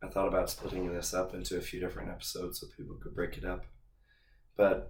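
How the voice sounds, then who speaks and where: This is a man speaking. Room echo is audible. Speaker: fitness podcast host. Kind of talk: solo podcast monologue.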